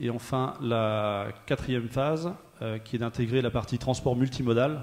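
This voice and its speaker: A medium-pitched man talks with monotone, flat intonation at a moderate pace. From Normandy, France. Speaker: transport company manager. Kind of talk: panel testimony. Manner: hesitant, many fillers.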